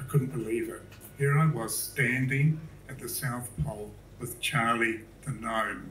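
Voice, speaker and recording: A man's medium-pitched voice at a fairly slow pace, fairly even in intonation, with big swings in loudness and audible room echo. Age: 70s. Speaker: public speaker, artist. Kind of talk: talk to a live audience. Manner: casual, hesitant with fillers.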